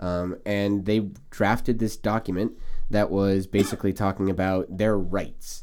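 A man with a fairly low pitch, fairly slow pace and monotone, flat intonation. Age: 20s. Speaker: podcast host. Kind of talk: casual chat.

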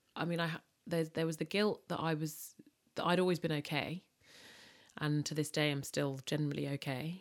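A woman with a London accent and a very deep, low pitch, at a moderate pace with fairly even intonation and long, frequent pauses. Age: 30s. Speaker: food and events entrepreneur. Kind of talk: interview about personal loss.

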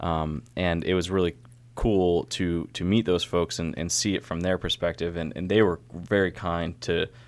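A man with an American accent talks at a very deep, low pitch. His pace is moderate and his intonation fairly even, in a very clean recording with a silent background. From upstate New York (Syracuse). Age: 20s. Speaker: brewer. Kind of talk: casual chat.

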